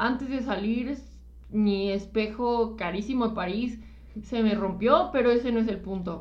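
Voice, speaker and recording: Audible room echo surrounds a woman speaking at a fairly high pitch and a fairly slow pace with ordinary pitch variation. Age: 20s. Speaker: podcast co-host. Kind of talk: casual chat. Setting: live stream.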